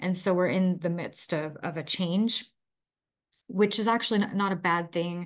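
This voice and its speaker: A woman's plain, everyday voice, medium in pitch and fairly even in intonation, at a moderate pace against a quiet background. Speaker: podcast host and chronic illness advocate. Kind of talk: casual interview, personal storytelling. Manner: friendly, conversational.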